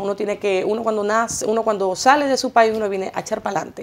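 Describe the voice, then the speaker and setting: Talking at a very fast pace, a woman uses a fairly high pitch with ordinary pitch variation. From Venezuela, Maracaibo; Venezuela. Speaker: singer and journalist; journalist. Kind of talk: TV interview. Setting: TV studio. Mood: warm, grateful. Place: studio.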